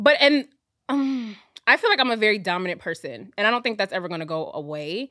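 Talking very fast, a woman uses a fairly high pitch with very wide pitch swings. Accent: American. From US South, Fayetteville, North Carolina. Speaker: podcast guest. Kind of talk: casual chat.

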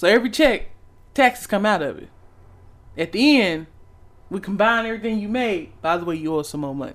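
The delivery is animated and fairly quick, broken by long, frequent pauses. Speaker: podcast co-host and poet. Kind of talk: casual banter, heated rant. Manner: animated, profane.

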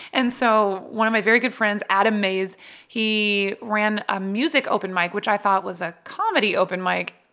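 A woman has a normal speaking voice and an American accent at medium pitch. She keeps a moderate pace with fairly even intonation. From New Jersey. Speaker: voice actor and comedian. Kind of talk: casual interview chat.

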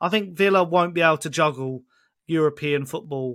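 A man's fairly high voice at a very fast pace with lively intonation, in a very clean recording with a silent background. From Essex, England. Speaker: football content creator and fan. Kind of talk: casual podcast chat.

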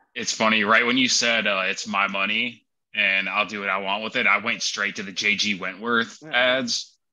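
A man's fairly low voice with an American accent, at a moderate pace with fairly even intonation, an ordinary speaking voice. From Wisconsin. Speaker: tattoo artist. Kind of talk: casual chat.

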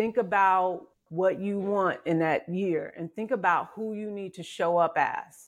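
Against a quiet background, a woman with an unremarkable speaking voice talks fairly slowly at medium pitch, her intonation fairly even but her loudness swinging widely. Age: 50s. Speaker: life coach. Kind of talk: interview.

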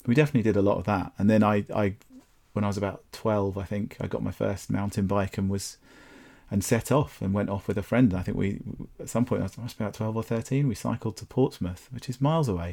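With a southern English accent, a man whose voice is fairly low with a dark, mellow tone talks at a very fast pace with ordinary pitch variation. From southern England, Brighton. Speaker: landscape photographer and gallery owner. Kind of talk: casual interview chat.

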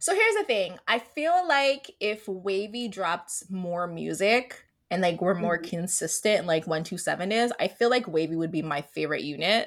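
A woman with a plain, everyday voice, a medium pitch and lively intonation, at a fairly slow pace. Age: 30s. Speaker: podcast host. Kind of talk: casual chat.

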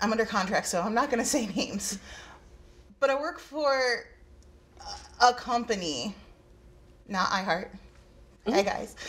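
A woman with a fairly high pitch, a moderate pace and long, frequent pauses. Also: ordinary pitch variation. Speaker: podcast executive producer. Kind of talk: panel roundtable discussion.

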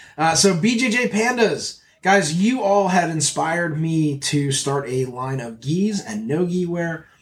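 Fairly slow and lively in intonation, this man speaks in a high pitch. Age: 40s. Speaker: jiu-jitsu podcast host and gear seller. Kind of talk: casual chat; promotional plug. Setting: studio. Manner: animated.

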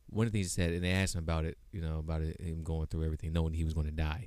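A man speaks at a very deep, low pitch in a monotone, flat way. The recording is very clean, with a silent background. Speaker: podcast host. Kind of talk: casual interview chat. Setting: live stream.

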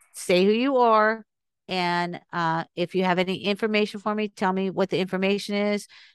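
A woman speaks in a plain, everyday voice at a moderate pace, with fairly even intonation and a dry, close sound with no echo over a quiet background. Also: medium pitch for a woman. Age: 60s. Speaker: podcast guest on recovered memories. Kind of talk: interview.

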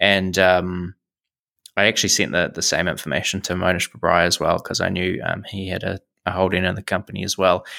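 In a dry, close sound with no echo, a man speaks fairly quickly in a very deep, low pitch with a bright, sharp tone and monotone, flat intonation. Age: 20s. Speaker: investing YouTuber and podcaster. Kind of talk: casual interview chat. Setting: remote internet call.

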